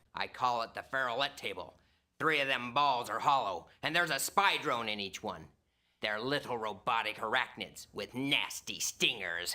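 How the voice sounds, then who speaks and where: Using a gravelly put-on character voice at a medium pitch, a man speaks at a moderate pace with lively intonation. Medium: video game. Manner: crude, threatening.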